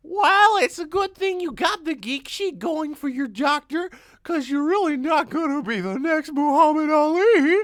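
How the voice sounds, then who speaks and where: A woman puts on a character voice at a high pitch with lively intonation. She keeps a moderate pace with hardly any pauses. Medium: audio drama. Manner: teasing.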